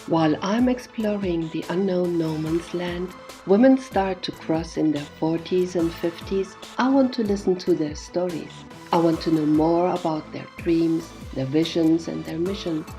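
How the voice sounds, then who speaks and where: With music in the background, a woman speaks at a fairly slow pace in a fairly low pitch with ordinary pitch variation. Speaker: podcast interviewer. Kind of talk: podcast intro narration.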